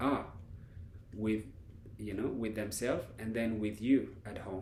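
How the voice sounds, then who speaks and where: Amid audible room echo, a man with a non-native accent speaks in a dark, mellow tone. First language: not English. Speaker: life coach. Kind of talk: lecture. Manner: halting.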